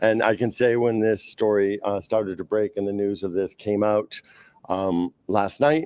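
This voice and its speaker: In a Boston accent, a man speaks with a fairly low pitch and fairly even intonation, the sound dry and close with no echo. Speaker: skating club representative. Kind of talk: press interview. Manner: halting, many fillers.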